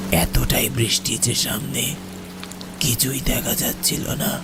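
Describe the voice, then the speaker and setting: Amid loud background noise, a man does a cartoonish character voice at a very slow pace. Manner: eerie, ominous.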